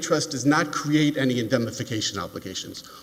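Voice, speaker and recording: Noticeable background noise sits behind a man with an American accent, medium in pitch, talking at a fairly quick pace. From New York. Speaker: appellate lawyer. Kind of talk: oral argument in court. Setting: courtroom. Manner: fast.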